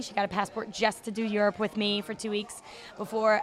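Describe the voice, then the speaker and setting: Over noticeable background noise, a woman talks fairly quickly. She has a fairly high pitch and an American accent. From Virginia, US (Chesapeake/Norfolk). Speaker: traveling English teacher. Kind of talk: casual interview chat. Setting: outdoors at open-air hostel.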